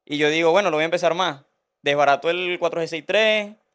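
Against a quiet background, a man speaks at a moderate pace. His pitch is high, with ordinary pitch variation. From Venezuela (Barquisimeto area). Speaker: Honda engine mechanic. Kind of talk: casual interview. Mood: relaxed, joking. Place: studio. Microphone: studio mic.

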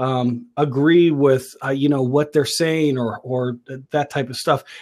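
In a normal speaking voice, a man with a fairly high pitch talks at a fairly slow pace over a quiet background. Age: 40s. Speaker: online talk show host and business coach. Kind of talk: casual live-stream talk. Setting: live video stream with headphones and microphone. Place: home room. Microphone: earbuds.

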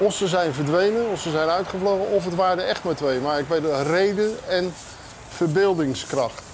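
A man speaks in a high voice at a moderate pace. Light background noise can be heard. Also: ordinary pitch variation. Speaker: journalist. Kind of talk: casual interview. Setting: on location walking tour. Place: street.

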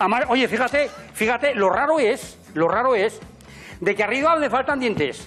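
Intonation is lively and loudness very even at a moderate pace, with light background noise. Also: man, extremely high pitch for a man. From Aragon, Spain. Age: 80s+. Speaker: farmer and balancing performer. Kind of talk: casual talk in interview. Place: garage. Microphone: lapel.

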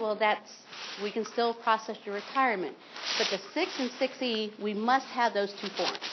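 A woman with an American accent, fairly high in pitch and fairly even in intonation, at a moderate pace over noticeable background noise. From Ohio, rural farm. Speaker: state retirement system representative. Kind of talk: informational seminar presentation.

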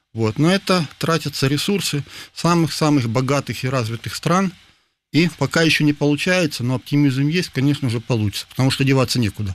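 In a dry recording with no echo, a man talks at fairly high pitch with ordinary pitch variation and very even loudness. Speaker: physics professor. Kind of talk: interview. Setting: studio. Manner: halting. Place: studio.

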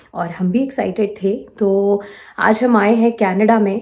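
In a dark, mellow tone, a woman speaks with monotone, flat intonation over a quiet background. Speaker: travel vlogger. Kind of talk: casual vlog chat. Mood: cheerful, relaxed. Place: home room. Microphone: phone near.

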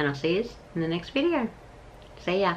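The speaker is female. Her accent is Australian. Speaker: vlogger. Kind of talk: casual vlog talk to camera. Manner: chatty, informal. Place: home room. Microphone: phone near.

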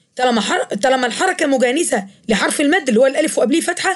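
Speaking at a fairly quick pace, a woman with an Egyptian accent has a high pitch and lively intonation. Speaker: teacher. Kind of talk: lecture.

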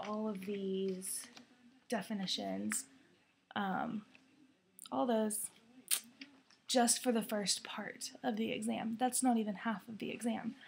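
A soft-spoken woman talks at a very slow pace with long, frequent pauses over light background noise. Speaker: vlogger and student; vlogger. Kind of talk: casual vlog. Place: home room. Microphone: webcam.

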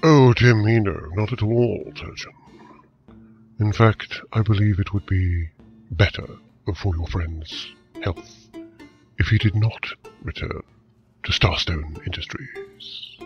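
With faint music in the background, a man talks at a fairly slow pace in a fairly low pitch, pausing long and often. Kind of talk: audio drama acting. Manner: smooth, cryptic, faintly menacing.

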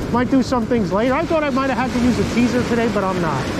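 Loud background noise fills the recording. The sound is dry, with no echo. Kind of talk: casual fishing commentary. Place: beach. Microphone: phone near.

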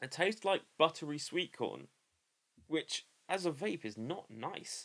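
Against a quiet background, the speaker moves at a moderate pace with very wide pitch swings. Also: man. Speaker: product reviewer. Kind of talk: casual review vlog. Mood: unimpressed, critical. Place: home room. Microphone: webcam.

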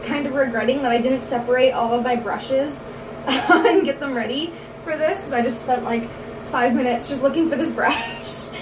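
At a moderate pace, a woman speaks at a high pitch with ordinary pitch variation over noticeable background noise. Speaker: makeup vlogger. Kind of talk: casual makeup tutorial chat. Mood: relaxed, self-deprecating, laughing. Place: home room. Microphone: phone near.

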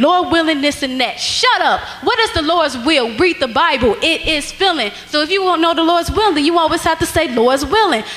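Pitched extremely high, a woman talks at a fairly quick pace. Her tone is animated, with lively intonation. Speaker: spoken word poet. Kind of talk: spoken word poetry performed at a church rally. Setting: church stage with audience. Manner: forceful, rhythmic, rhyming delivery. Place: church. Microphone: handheld.

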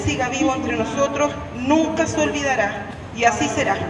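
Over noticeable background noise, a woman talks at a high pitch. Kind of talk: ceremonial tribute speech. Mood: emotional, solemn. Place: stadium. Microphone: pa.

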